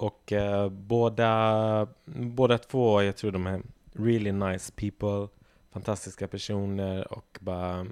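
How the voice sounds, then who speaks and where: A man at a very slow pace, fairly low in pitch, with fairly even intonation and a quiet background. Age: 20s. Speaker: podcast guest, friend of the hosts. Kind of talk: casual chat.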